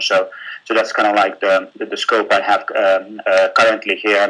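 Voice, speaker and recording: A man with a Finnish accent speaks at a moderate pace. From Finland. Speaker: business executive. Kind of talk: webinar presentation. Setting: online webinar. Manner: halting, many fillers and repetitions.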